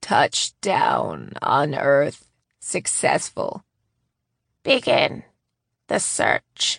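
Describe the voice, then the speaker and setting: In a raspy, put-on character voice, the speaker goes very slowly with long, frequent pauses. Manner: creepy, sinister.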